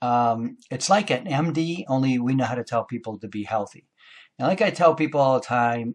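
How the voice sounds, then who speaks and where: A man speaks at a moderate pace and medium pitch with lively intonation in an unremarkable speaking voice. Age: 60s. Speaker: naturopathic doctor. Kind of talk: monologue talk to camera. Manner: casual with frequent fillers.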